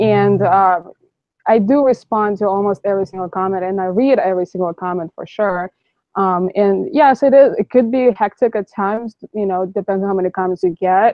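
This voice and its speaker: A woman with a Russian accent at a moderate pace. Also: medium pitch for a woman, ordinary pitch variation. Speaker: YouTuber, van-life vlogger. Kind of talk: live stream discussion. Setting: live stream online call.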